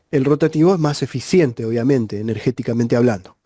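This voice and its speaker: A man's dark, mellow tone with lively intonation. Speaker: refrigeration and electricity teacher. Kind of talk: tutorial.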